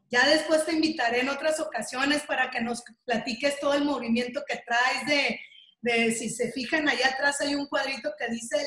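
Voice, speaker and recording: At a moderate pace, the speaker uses fairly even intonation with a Mexican accent. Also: woman. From Mexico. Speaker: video interviewer, breast cancer survivor. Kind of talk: casual interview.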